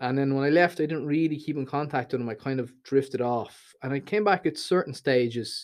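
A man speaks at a fairly quick pace with a Dublin accent, barely pausing at all. His pitch is fairly high, with ordinary variation. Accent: Dublin Irish. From Dublin, Ireland. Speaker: YouTuber. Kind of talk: casual chat.

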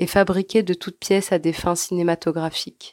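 Recorded very cleanly against a silent background, a woman of medium pitch speaks at a fairly slow pace with fairly even intonation. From Algeria (Algiers). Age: 20s. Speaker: emigrant sharing experience. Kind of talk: scripted narration.

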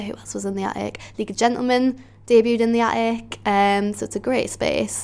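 With an ordinary speaking voice, a woman talks at a fairly quick pace in a fairly high pitch and fairly even intonation. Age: 20s. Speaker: comedian. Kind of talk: interview answers.

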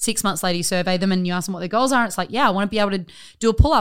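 A woman talks at a very fast pace with an Australian accent, her medium pitch showing ordinary variation. The recording is very clean, with a silent background. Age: 30s. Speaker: gym owner. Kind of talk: casual chat.

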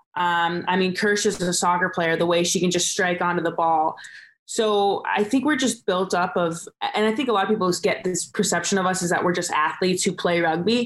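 With a Californian accent, a woman speaks at a fairly quick pace in a medium pitch, with ordinary pitch variation and very even loudness. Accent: Californian American. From Southern California. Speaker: rugby sevens player. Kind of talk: casual interview. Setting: remote call from Dubai.

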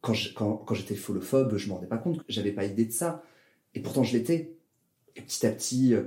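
A man's dark, mellow, somewhat breathy voice at a medium pitch, fairly quick with lively intonation yet with long, frequent pauses. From southern France, Toulouse. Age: 20s. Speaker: drag performer and engineer. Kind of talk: casual interview.

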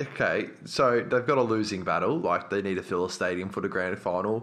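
A man speaks at a fairly quick pace with an Australian accent. His pitch is fairly low and its variation is ordinary. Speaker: podcast co-host. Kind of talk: casual chat.

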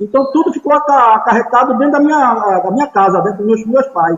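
Lively intonation marks this man's speech, delivered at an extremely high pitch. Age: 60s. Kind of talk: casual chat.

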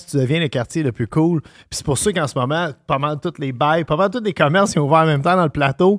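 A normal speaking voice, fairly quick in pace, with ordinary pitch variation. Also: man. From Montreal, Quebec. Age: 40s. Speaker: podcast host and chef. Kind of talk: casual chat.

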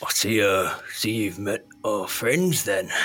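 In a put-on character voice, a man sounds gruff at medium pitch. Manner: gruff, sly.

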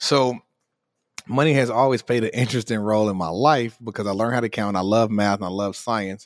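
In a very clean recording with a silent background, a man with an American accent speaks at a fairly quick pace. He has a normal speaking voice, a fairly low pitch and ordinary pitch variation. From US Midwest, Chicago south side. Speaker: hedge fund manager and finance educator. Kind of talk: interview.

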